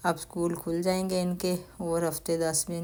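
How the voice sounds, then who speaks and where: This woman has a dark, mellow tone and a fairly low pitch. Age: 60s. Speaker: family vlogger. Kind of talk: casual shopping vlog narration. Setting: in a store.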